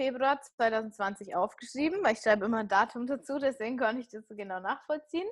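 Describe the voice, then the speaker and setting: Against a quiet background, a woman in an ordinary speaking voice talks at a fairly quick pace with a fairly high pitch. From rural Germany, small village. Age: 30s. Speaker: podcaster and fitness coach. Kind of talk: casual interview.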